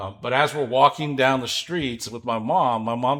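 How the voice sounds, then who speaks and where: A very clean recording, silent in the background, of a man at a moderate pace. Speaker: podcast co-host. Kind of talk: casual chat. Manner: mumbling.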